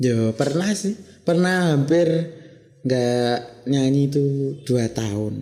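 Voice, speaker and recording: Using a Javanese accent, a man with fairly high pitch speaks very slowly and with lively intonation, leaving long, frequent pauses. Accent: Javanese-accented Indonesian. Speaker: male traditional singer (sinden). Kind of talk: casual interview.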